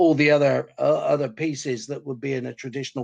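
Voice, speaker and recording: Against a quiet background, a man with a west of England accent speaks at a fairly high pitch. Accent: west of England (Gloucestershire). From west of England, Gloucestershire. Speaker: project management consultant. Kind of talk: webinar presentation. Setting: webinar.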